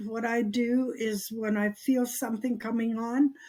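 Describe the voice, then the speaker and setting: A woman speaks at a very slow pace. Her fairly high voice is somewhat breathy. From Canada, Cree First Nation in Alberta. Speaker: Cree Elder, nurse and activist. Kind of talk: interview answer.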